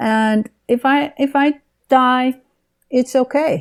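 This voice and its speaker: A woman with a Dutch accent speaks at a high pitch with ordinary pitch variation. The sound is dry and close with no echo. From Netherlands. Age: 70s. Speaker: author and retired therapist. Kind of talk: interview. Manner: halting.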